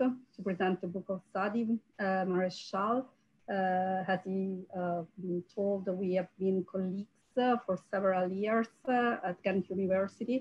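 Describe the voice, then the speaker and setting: Somewhat breathy, a woman speaks with a strong Italian accent and fairly even intonation. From Italy. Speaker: archaeologist. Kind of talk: academic roundtable talk. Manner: halting, many fillers.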